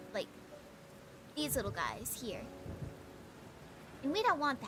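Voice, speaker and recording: Soft-spoken, a woman talks at a moderate pace. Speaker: vtuber streamer and digital artist. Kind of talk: casual livestream chat with painting tutorial. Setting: livestream. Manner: hesitant, with fillers and repeats.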